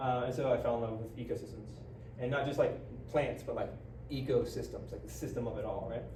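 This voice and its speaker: Talking at a very fast pace with an American accent, a man is heard over noticeable background noise and audible room echo. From West Virginia and Indiana. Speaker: permaculture teacher. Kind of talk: lecture. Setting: conference class, small audience.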